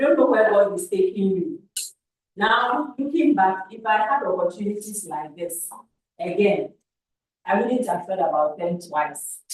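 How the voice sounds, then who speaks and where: A woman speaks in a Ghanaian accent at a fairly slow pace and a medium pitch. Her intonation is lively, and her loudness swings widely. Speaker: camp facilitator giving feedback to youth. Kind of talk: feedback talk to youth camp. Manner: repetitive, halting.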